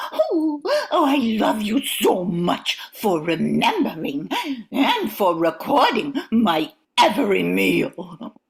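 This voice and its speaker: A woman uses a put-on character voice at a medium pitch. She talks at a very slow pace, her loudness very even throughout. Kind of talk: comic overacting. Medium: stage play. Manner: breathy, gushing exclamations.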